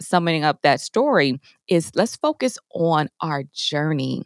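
A woman speaks in an American accent with a very deep, low pitch and lively intonation. The sound is dry and close with no echo, in a very clean recording with a silent background. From US Midwest, Chicago south suburbs. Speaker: minister and counselor. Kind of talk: interview.

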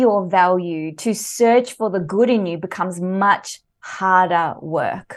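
Speaking fairly slowly at a medium pitch with ordinary pitch variation, a woman with an Australian accent is heard against a quiet background. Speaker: leadership coach and author. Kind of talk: interview. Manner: animated.

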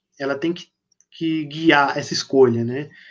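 A man speaks at a moderate pace, his pitch varying in an ordinary way, over a quiet background. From São Paulo, Brazil. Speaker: horror fiction author. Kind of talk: casual interview on live stream. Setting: live video stream.

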